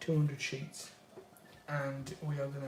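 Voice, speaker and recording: Amid noticeable background noise and audible room echo, a man with a British accent speaks at a fairly high pitch. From UK. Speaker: art streamer. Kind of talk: live stream casual chat while drawing. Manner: casual, conversational.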